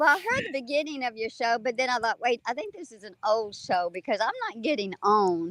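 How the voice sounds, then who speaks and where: A woman's unremarkable speaking voice, fairly high in pitch and fairly quick, with lively intonation, hardly any pauses, big swings in loudness, and a dry, close sound with no echo. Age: 60s. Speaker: online show participant. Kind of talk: casual chat. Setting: outdoors.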